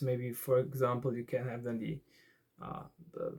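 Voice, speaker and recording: A man in a German accent with fairly even intonation. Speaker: card game YouTuber. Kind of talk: tutorial. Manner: halting.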